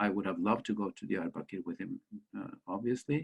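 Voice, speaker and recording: A man talks at a very fast pace in a Norwegian accent. His voice has vocal fry. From Norway. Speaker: author and school principal. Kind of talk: interview storytelling. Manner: halting.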